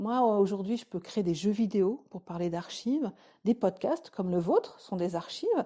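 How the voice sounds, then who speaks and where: Very clean recording with a silent background, carrying a woman's dark, mellow tone. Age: 40s. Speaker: archives activist. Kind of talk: interview. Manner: hesitant.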